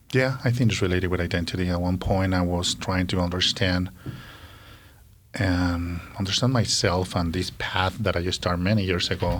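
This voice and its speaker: The speaker has a Colombian accent and keeps a moderate pace. Loudness stays very even and the intonation fairly even. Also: man. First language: Spanish. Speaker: social worker. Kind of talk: interview.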